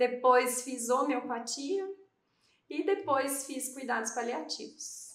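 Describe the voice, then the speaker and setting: In a southern Minas Gerais accent, a woman speaks at a fairly slow pace with high pitch and lively intonation, and room echo can be heard. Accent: southern Minas Gerais (mineiro). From Campinas, São Paulo state, Brazil. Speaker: podcast co-host, physician. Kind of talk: casual chat.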